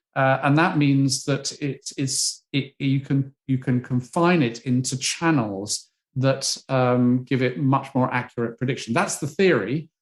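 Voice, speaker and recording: Speaking with a British accent at a medium pitch, a man keeps a fairly slow pace with hardly any pauses. His pitch variation is ordinary. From Britain. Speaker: psychology professor. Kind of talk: interview. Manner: halting.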